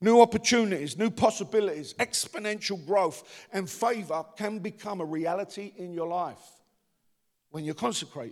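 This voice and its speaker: A man speaks at a moderate pace in a strong Cockney accent. His tone is animated and his intonation lively. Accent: deep Cockney. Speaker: pastor. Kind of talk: sermon. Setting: church.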